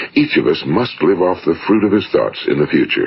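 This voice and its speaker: The speaker is a man with an American accent. He keeps to a moderate pace. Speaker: motivational speaker. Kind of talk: motivational talk, broadcast-style narration. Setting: vintage 1950s studio recording. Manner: measured, earnest, authoritative.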